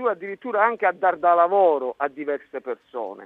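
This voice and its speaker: A man is speaking. His pitch swings very widely. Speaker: field reporter. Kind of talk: live radio report with street interviews. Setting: outdoors at a market, by phone.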